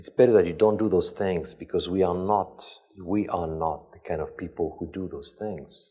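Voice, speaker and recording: A man with a non-native accent speaks at a moderate pace in a very deep, low pitch, his tone dark and mellow, his intonation fairly even and his loudness swinging widely. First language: not English. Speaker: lecturer on leadership ethics. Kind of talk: lecture. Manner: relaxed.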